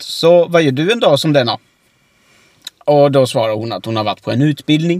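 Here is a normal speaking voice from a man at a fairly high pitch. He uses lively intonation at a moderate pace, in a dry, close sound with no echo. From Oskarshamn area, Sweden. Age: 30s. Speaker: podcast co-host. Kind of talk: casual chat.

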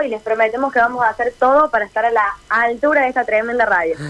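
Against noticeable background noise, a woman with a high pitch talks at a very fast pace with fairly even intonation. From Córdoba, Argentina. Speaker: radio correspondent and dancer. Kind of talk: radio interview.

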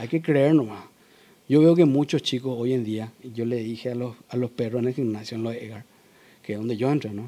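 A man speaks at a fairly quick pace in a medium pitch, his tone dark and mellow and his intonation fairly even. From Paraguay. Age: 40s. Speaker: powerlifting champion. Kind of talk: interview.

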